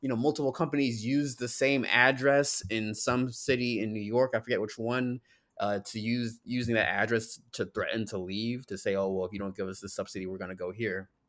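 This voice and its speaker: A man speaks in a normal speaking voice at a medium pitch and a fairly quick pace, with ordinary pitch variation, in a very clean recording with a silent background. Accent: American. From New Jersey (North Jersey). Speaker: podcast host. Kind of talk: casual chat.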